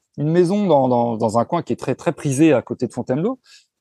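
Against a quiet background, a man with a fairly high pitch speaks with lively intonation and a dark, mellow tone, the sound dry and close with no echo. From Paris region, France (Seine-et-Marne). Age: 40s. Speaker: renovation contractor and property investor. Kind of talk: casual interview. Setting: remote call from seaside in Spain.

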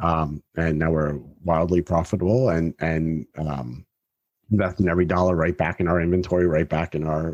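In an American accent, a man with a very deep, low pitch talks at a fairly quick pace with fairly even intonation, in a dry, close sound with no echo and a quiet background. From US South, Miami. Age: 40s. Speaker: company CEO. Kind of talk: casual chat.

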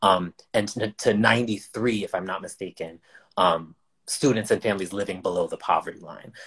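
With a normal speaking voice, a man talks at a moderate pace and fairly low pitch, his intonation fairly even but his loudness swinging widely. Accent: American. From Amherst, Massachusetts. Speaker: author, artist and educator. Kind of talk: panel discussion.

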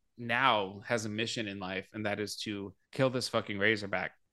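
A man with an American accent and a bright, sharp tone, over a quiet background. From Arizona, US. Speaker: podcast host. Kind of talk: casual chat.

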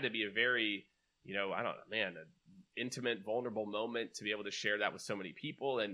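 A man talks at a fast pace in a fairly low pitch. His tone is bright and sharp, with ordinary pitch variation.

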